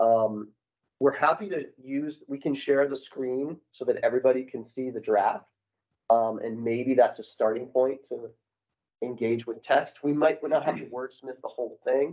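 Here a man's loudness swings widely while his pitch varies in an ordinary way. The background is quiet. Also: moderate pace. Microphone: video call.

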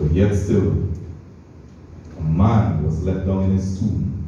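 A man at a fairly slow pace with ordinary pitch variation, strong room echo and light background noise. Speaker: preacher. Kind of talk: sermon. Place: church.

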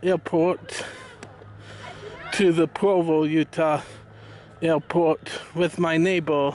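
Very slowly and in a flat monotone, a man speaks at a high pitch, with a dry, echo-free sound and light background noise. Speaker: vlogger. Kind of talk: casual vlog chat. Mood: calm, reflective. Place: open country. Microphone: phone near.

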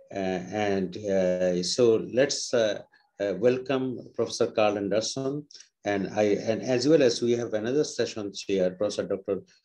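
Moderate pacing, ordinary pitch variation and long, frequent pauses against a quiet background. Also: man, medium pitch for a man. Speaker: conference organizer and academic. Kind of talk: conference session moderation. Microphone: video call.

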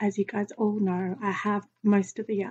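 A woman with an Australian accent speaks at medium pitch in a monotone, flat intonation. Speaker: vlogger with chronic illness. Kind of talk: casual vlog to camera. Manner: hesitant, many fillers.

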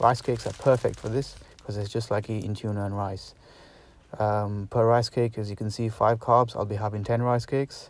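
A man talks at a moderate pace, the sound dry with no echo. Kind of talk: casual cooking tutorial. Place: kitchen. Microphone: phone near.

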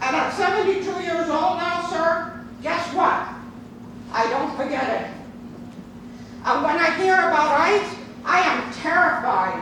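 The speaker talks at a fairly slow pace with long, frequent pauses and ordinary pitch variation, over noticeable background noise and audible room echo. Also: woman, extremely high pitch for a woman. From New York City, born in Cuba. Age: 70s. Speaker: public commenter, retired psychotherapist. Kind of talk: public comment speech. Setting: county legislative chamber. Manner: impassioned, emphatic.

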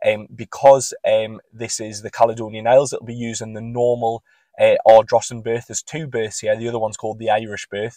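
Very fast and flat in a monotone, a man speaks with a dark, mellow tone, the sound dry with no echo over a quiet background. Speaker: travel vlogger. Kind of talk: casual vlog chat. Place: car. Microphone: phone near.

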